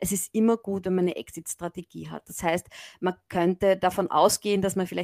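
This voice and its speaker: A woman's medium-pitched voice at a very fast pace, monotone and flat, in a very clean recording with a silent background and a dry, close sound with no echo. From Austria, Graz (Styria). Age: 50s. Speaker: management professor. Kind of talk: interview.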